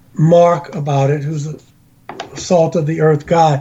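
In an American accent, the speaker talks at a fairly slow pace over noticeable background noise. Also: man. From US, Baltimore, Maryland. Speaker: interfaith minister and UFO experiencer. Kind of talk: interview. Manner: halting.

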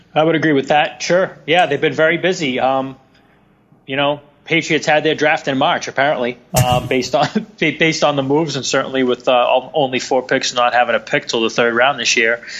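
Speaking at a fairly quick pace with fairly even intonation, a man with a strong Boston accent has a fairly high pitch. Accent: Boston, thick.

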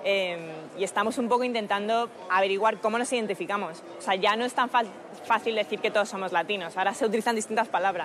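With a Madrid accent, a woman talks at a very fast pace, medium pitch and fairly even intonation over noticeable background noise. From Spain, Madrid. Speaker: political activist and former campaign staffer. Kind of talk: TV interview.

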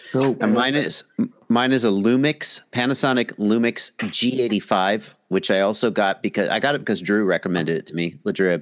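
Fairly quick and lively in intonation, a man with an American accent, medium pitch and an unremarkable speaking voice speaks with a dry, close sound and no echo. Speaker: drone hobbyist and video creator. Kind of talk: casual chat. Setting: live video call stream.

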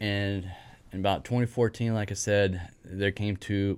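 On a very clean recording with a silent background, a man speaks in a Texan accent at a fairly low pitch. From East Texas. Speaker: HVAC lead technician. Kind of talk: casual interview.

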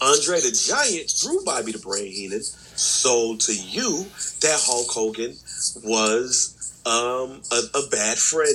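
At a very slow pace, a man talks. Noticeable background noise sits behind him. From Chicago, west side. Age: 30s. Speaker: wrestling podcast co-host. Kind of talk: casual chat.

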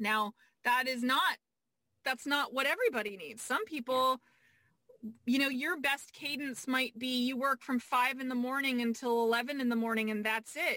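Projecting a raised voice, a woman speaks at a high pitch with a bright, sharp tone, a moderate pace and ordinary pitch variation, the sound dry and close with no echo. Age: 40s. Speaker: business coach. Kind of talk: casual chat.

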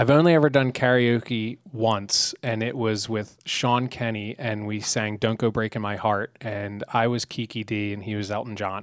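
Here is an ordinary speaking voice with fairly even intonation. The recording is very clean, with a silent background. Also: man. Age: 30s. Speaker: business organization CEO. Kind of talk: interview. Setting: studio.

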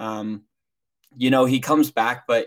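A man talks in a plain, everyday voice at a medium pitch. He keeps a moderate pace and fairly even intonation. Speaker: podcast co-host. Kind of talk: casual sports talk.

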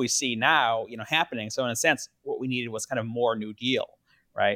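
In a very clean recording with a silent background and a dry, close sound with no echo, a man with an American accent and an unremarkable speaking voice talks at medium pitch, at a fairly quick pace, with fairly even intonation. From US Midwest, Milwaukee. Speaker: historian and author. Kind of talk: interview conversation.

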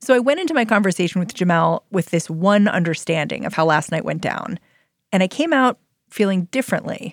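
A normal speaking voice at a fairly quick pace, lively in intonation, with a dry, close sound with no echo and a very clean recording with a silent background. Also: woman, medium pitch for a woman. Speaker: podcast host. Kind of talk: news podcast narration and interview.

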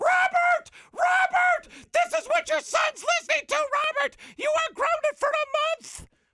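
Someone uses a put-on character voice at an extremely high pitch. The pitch swings very widely at a moderate pace. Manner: angry, scolding.

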